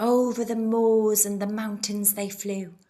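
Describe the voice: The speaker is heard in plain reading aloud. The delivery stays that way throughout.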